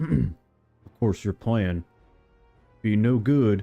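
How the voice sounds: With faint music behind him, a man does a put-on character voice at a fairly low pitch.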